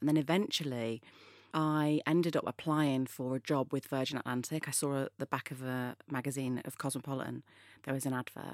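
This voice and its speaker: Very deep and low in pitch, a woman speaks at a moderate pace on a very clean recording with a silent background and a dry, close sound with no echo. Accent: Mancunian. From northern England, Manchester. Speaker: influencer. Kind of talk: interview.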